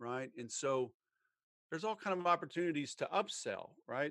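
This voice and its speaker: On a very clean recording with a silent background, a man with a Southern US accent speaks at a moderate pace in a fairly high voice. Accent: Southern American. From US South. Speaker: sales trainer. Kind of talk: interview. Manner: animated.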